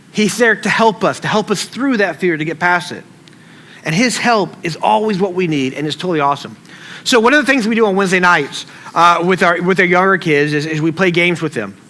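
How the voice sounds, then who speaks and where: A man with a Southern US accent, high pitch, lively intonation and a fairly quick pace, amid noticeable background noise. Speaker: pastor. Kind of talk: sermon. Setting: church stage with audience. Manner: casual, conversational; mumbles words together.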